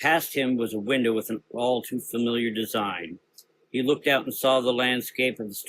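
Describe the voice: Against a quiet background, the text is given a plain reading aloud.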